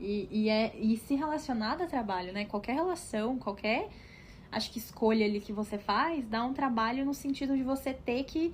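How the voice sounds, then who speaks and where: A woman is speaking. Her pitch is fairly high, with ordinary pitch variation. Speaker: podcast co-host. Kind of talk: casual chat. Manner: fast.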